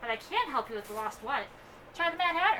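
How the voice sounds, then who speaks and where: Over clear background noise, a woman races along at a very fast pace in a high-pitched put-on character voice with very wide pitch swings. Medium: read story. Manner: playful, riddling.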